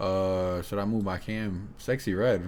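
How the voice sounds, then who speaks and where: An energetic tone from a man. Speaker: YouTube reaction streamer. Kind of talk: casual reaction commentary.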